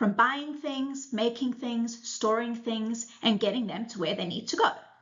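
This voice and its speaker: Over noticeable background noise and audible room echo, a woman with a fairly high pitch talks at a fairly slow pace. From South Africa. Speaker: supply chain simulation product manager. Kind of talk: conference presentation.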